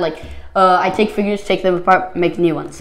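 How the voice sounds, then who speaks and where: A woman talks at a medium pitch. Noticeable background noise runs under her voice. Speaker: Lego builder YouTuber. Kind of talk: casual video presentation of a Lego build. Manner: hesitant, filler-heavy.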